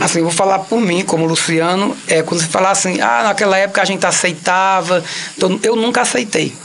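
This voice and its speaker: Someone speaks at a fairly quick pace in a Cariri accent, with noticeable background noise behind the voice. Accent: Cariri accent, kept for life. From Ceará, Cariri (Crato). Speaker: actor and comedian. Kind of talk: interview. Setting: radio studio.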